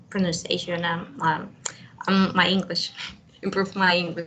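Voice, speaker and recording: A woman speaks with a Spanish accent at a medium pitch. Her pace is fairly slow, and there is noticeable background noise. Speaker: university language student. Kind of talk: one-on-one language practice chat. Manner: halting.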